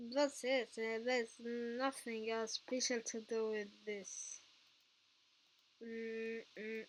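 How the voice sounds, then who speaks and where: With a non-native accent, a woman speaks very slowly at a fairly high pitch in a flat, monotone way, leaving long, frequent pauses. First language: not English. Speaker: tutorial youtuber. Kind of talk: tutorial. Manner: halting.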